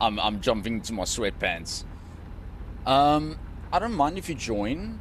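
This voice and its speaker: A man talks at a fairly slow pace and medium pitch, with vocal fry and very wide pitch swings. Long pauses come often, and room echo is audible. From South Africa. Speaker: gaming streamer. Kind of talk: casual chat. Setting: live stream. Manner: relaxed, many fillers.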